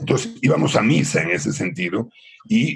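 Very wide pitch swings mark a man's speech, delivered at a fairly slow pace. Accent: Galician. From Mexico City, raised between Mexico and Spain in a Galician family. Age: 60s. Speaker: podcast guest telling his life story. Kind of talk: casual interview chat.

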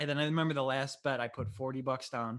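Against a quiet background, a man talks in a normal speaking voice at a medium pitch. His pace is fairly quick and his intonation fairly even. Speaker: podcast host. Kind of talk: casual chat interview at home. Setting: recorded at home.

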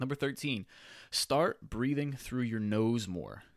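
On a very clean recording with a silent background, a man uses a plain, everyday voice with ordinary pitch variation. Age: 30s. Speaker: fitness podcast host. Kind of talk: solo podcast monologue. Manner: casual, filler-heavy.

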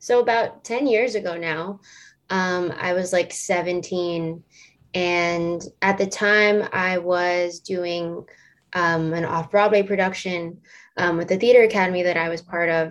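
In an ordinary speaking voice, a woman talks at a fairly slow pace with fairly even intonation. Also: fairly low pitch for a woman. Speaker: singer-songwriter. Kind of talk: podcast interview.

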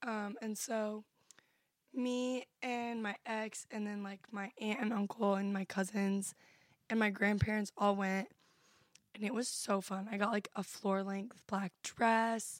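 A woman speaks at a fairly slow pace in a fairly high pitch, her intonation monotone and flat, with a dry, close sound and no echo. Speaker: podcast host. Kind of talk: casual chat. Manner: casual, filler-heavy.

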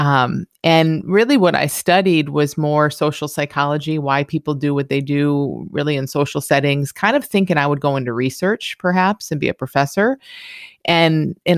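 A woman's very deep, low voice with an American accent, at a moderate pace and ordinary pitch variation, dry and close with no echo on a very clean recording against a silent background. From US Midwest, Michigan. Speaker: psychologist and coach. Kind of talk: interview conversation.

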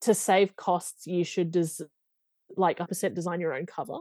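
A woman with an Australian accent is heard dry and close with no echo over a quiet background. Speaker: romance novelist. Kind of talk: interview. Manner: hesitant, many fillers.

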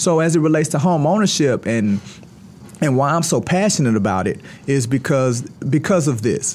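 Using an American accent, a man speaks in an animated tone with very wide pitch swings. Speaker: real estate firm CEO. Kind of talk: casual interview. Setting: studio.

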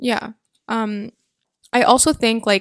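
A woman's plain, everyday voice at a fairly high pitch, fairly even intonation, dry, close sound with no echo. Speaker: podcast host. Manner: fast talker.

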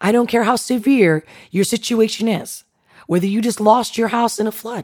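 At a moderate pace, a woman speaks in an animated tone with a fairly high pitch. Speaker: podcast host. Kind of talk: motivational talk with guided visualization. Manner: animated, direct.

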